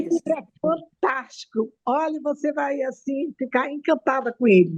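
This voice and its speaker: In a dry, close sound with no echo, a woman speaks at a fairly slow pace, her high voice full of lively intonation. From Brazil, Manaus (Amazonas). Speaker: audience participant. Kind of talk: casual chat.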